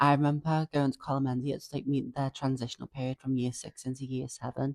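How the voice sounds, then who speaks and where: The speaker talks at a very fast pace with a Liverpool accent. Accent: Scouse. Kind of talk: podcast conversation.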